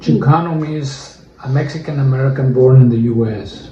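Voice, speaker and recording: A man's medium-pitched voice amid audible room echo. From Arizona, Tempe. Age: 70s. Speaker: interviewee. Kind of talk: interview. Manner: halting, many fillers.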